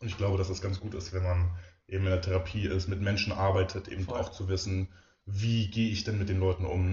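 Somewhat breathy and very deep, a man's voice moves at a fairly quick pace with monotone, flat intonation. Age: 20s. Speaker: physiotherapist and osteopath. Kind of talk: casual interview.

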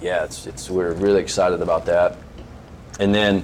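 A man with an American accent talks at a moderate pace over noticeable background noise. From Arizona. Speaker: fitness business owner and former Marine. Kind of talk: casual interview.

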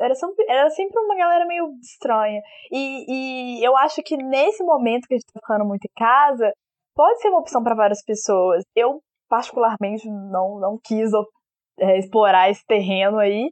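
A woman speaks at a moderate pace in a Minas Gerais accent, her high voice carrying lively intonation. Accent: mineiro. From Belo Horizonte, Minas Gerais, Brazil. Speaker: podcast co-host. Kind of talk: casual chat.

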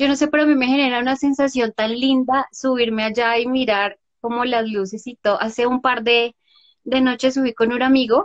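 This woman speaks with a Bogotá accent and a high pitch. Her intonation stays fairly even at a moderate pace. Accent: Bogotá Colombian Spanish. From Bogotá, Colombia. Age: 30s. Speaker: photographer. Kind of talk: interview.

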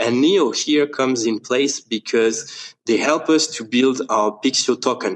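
A man with a French accent. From France. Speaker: startup co-founder. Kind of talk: interview.

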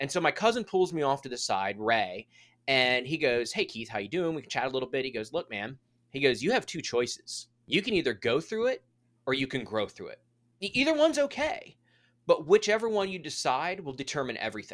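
In a very clean recording with a silent background, a man speaks at a fairly quick pace and fairly high pitch. His pitch swings very widely and his loudness rises and falls a lot. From Maryland, outside Washington, D.C. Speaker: sales and customer experience leader. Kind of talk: podcast interview. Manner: animated; fast.

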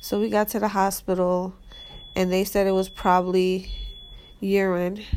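A woman speaks at medium pitch and a moderate pace, her intonation flat and monotone. Long, frequent pauses break up her speech, and the background noise is noticeable. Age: 30s. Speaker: mother sharing her birth experience. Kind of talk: personal storytelling. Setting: hospital room. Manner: hesitant, many fillers.

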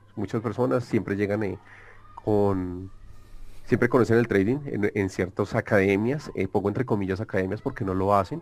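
Here a man with a Colombian accent talks at a moderate pace. His pitch is fairly low, with ordinary pitch variation. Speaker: algorithmic trader. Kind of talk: interview.

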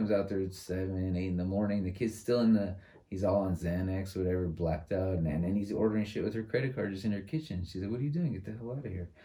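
A man with a dark, mellow tone and fairly low pitch talks at a very fast pace with hardly any pauses. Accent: American. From San Francisco, California. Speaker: teacher and former probation officer. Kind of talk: casual chat.

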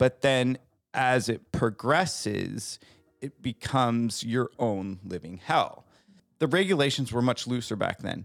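A man speaks at a fairly slow pace with lively intonation and medium pitch, in an unremarkable speaking voice. The recording is very clean and dry, close with no echo, over a silent background. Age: 40s. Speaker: guest sharing addiction recovery story. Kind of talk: casual chat; personal testimony.

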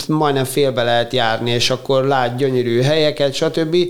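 A man talks with fairly even intonation as noticeable background noise carries on behind him. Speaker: paediatric surgeon and triathlete. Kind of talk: interview.

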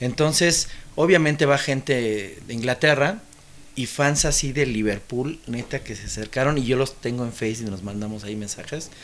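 With ordinary pitch variation and a moderate pace, this is a plain, everyday voice. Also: man. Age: 40s. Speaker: musician. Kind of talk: casual chat.

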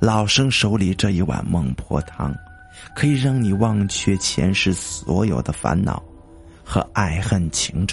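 A man's put-on character voice, low-pitched, hoarse and full of vocal fry, at a fairly slow pace with lively intonation over faint background music.

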